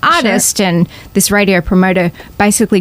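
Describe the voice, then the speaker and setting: A woman at medium pitch, fairly quick. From Australia. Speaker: singer-songwriter. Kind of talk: podcast interview, casual chat. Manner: animated.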